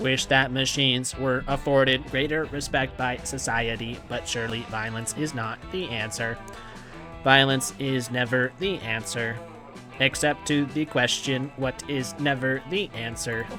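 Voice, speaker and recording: A man puts on a robotic character voice at medium pitch, raised and projected, at a moderate pace. Clear music plays in the background. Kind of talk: formal, polite.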